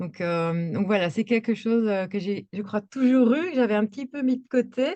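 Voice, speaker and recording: A woman with a dark, mellow tone speaks at a moderate pace against a quiet background. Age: 40s. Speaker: equine coach and art therapist. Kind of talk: interview. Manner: hesitant, many fillers.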